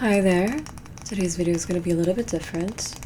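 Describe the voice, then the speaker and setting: A woman speaks softly at a fairly low pitch. There is noticeable background noise. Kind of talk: ASMR tarot reading. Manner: soft-spoken.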